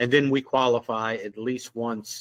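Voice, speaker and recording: In a Southern US accent, a man speaks with monotone, flat intonation, the sound dry and close with no echo. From Louisiana. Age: 60s. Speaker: security officer and former police officer. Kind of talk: casual interview conversation.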